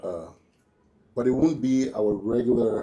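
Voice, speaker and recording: Audible room echo surrounds a man speaking at a fairly slow pace, with a medium pitch, ordinary pitch variation and a dark, mellow tone. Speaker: police chief. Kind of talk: press conference briefing. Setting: podium at press conference. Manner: halting.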